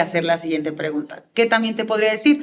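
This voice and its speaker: A woman's fairly high-pitched voice. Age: 30s. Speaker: public speaking coach. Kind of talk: interview answers. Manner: fast.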